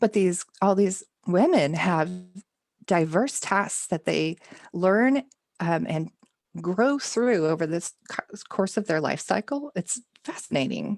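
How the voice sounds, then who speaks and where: A woman with an American accent speaks very slowly with lively intonation and long, frequent pauses, in a dry, close sound with no echo. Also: medium pitch for a woman. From Texas. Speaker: homesteader and novelist. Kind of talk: podcast interview answer.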